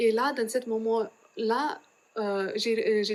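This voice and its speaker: Speaking very slowly with a Lithuanian accent, a woman keeps a fairly high pitch and fairly even intonation. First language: Lithuanian (speaking French). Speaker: religious sister. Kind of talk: testimony. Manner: halting, many hesitations.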